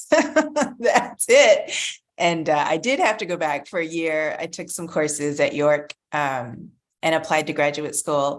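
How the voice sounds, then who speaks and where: A woman's fairly low voice with lively intonation, at a fairly slow pace against a quiet background. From Canada, Ontario (Pickering/Toronto area). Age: 50s. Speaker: children's author. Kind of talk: interview.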